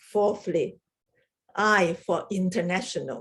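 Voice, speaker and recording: A woman speaks with a strong Chinese accent. She talks at a very slow pace. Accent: heavy Chinese. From Hong Kong. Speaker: research chemist giving a club speech. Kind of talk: prepared humorous speech.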